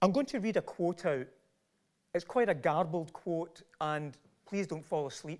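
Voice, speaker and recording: A man with a Glasgow accent, high-pitched and lively in intonation, at a fairly slow pace, on a very clean recording with a silent background. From Scotland, Largs. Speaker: professor. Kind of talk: lecture.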